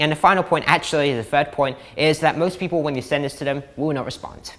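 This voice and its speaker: A man talks at a very fast pace in a fairly high pitch. His pitch variation is ordinary. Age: 20s. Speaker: business coach. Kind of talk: tutorial. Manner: animated. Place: home room. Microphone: lapel.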